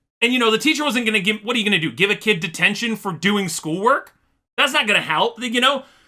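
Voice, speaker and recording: A man with a high pitch speaks in a raised, projected voice with a bright, sharp tone and ordinary pitch variation. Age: adult. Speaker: YouTube reaction streamer. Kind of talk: casual reaction commentary.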